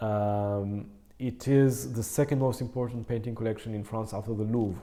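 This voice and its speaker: A man with a non-native accent, dark, mellow tone, medium pitch, fairly even intonation and moderate pace. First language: not English. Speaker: concert pianist. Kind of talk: casual interview. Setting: in person, Berlin. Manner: halting, many fillers.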